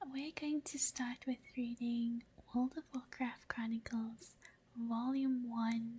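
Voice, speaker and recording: A soft-spoken woman talks at a very slow pace, her tone calm and her intonation fairly even. Her voice is high-pitched with a dark, mellow tone. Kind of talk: casual intro to viewers. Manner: soft-spoken, calm.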